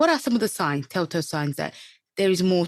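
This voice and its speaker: A woman speaks with a non-native accent and very wide pitch swings. The recording is very clean, with a silent background. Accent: foreign. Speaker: podcast host, trainee psychotherapist. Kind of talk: interview. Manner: halting.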